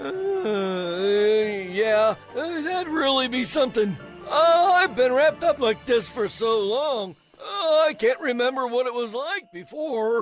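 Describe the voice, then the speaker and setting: A man speaks in a put-on character voice at an extremely high pitch. His pace is moderate, with faint music in the background. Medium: audio drama. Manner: hesitant, many "uh"s.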